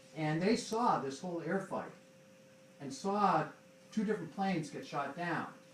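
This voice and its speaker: A man with a high pitch speaks at a moderate pace with lively intonation and long, frequent pauses. Noticeable background noise and audible room echo surround him. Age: 50s. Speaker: son of a war veteran. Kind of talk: audience Q&A remarks. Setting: public library talk with audience.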